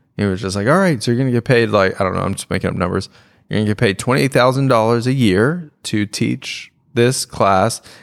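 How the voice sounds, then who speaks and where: A man's unremarkable speaking voice at a medium pitch, with ordinary pitch variation and a fairly quick pace, on a very clean recording with a silent background. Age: middle-aged. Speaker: stand-up comedian and podcast host. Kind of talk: casual chat.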